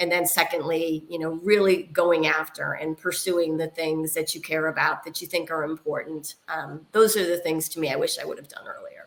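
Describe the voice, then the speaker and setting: A woman with an ordinary speaking voice and a fairly low pitch talks at a moderate pace with hardly any pauses, her intonation fairly even but her loudness swinging widely. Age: 60s. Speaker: technology executive and board member. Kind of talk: interview.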